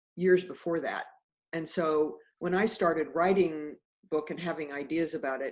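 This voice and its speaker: An ordinary speaking voice with an American accent moves at a moderate pace. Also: woman. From Kansas, Wichita. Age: 60s. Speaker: author and mindfulness teacher. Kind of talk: casual chat. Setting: video call.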